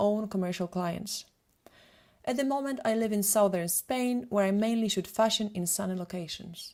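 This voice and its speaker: A woman with a Polish accent talks at a fairly quick pace, her medium pitch showing ordinary variation. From Poland. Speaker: photographer and retoucher. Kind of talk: webinar presentation.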